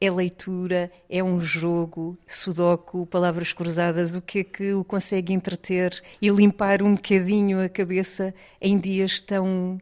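A woman's fairly low voice holds a flat, monotone intonation. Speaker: radio reporter. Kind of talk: interview. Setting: bookshop.

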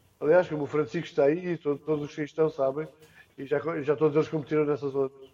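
This man's voice is fairly high, with a dark, mellow tone. His intonation is monotone and flat. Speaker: surf federation president. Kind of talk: remote interview.

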